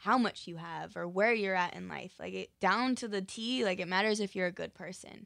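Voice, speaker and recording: Speaking with an American accent, a woman has a normal speaking voice of medium pitch at a moderate pace. The recording is very clean with a silent background. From Utah. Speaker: professional dancer and actor. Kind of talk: interview.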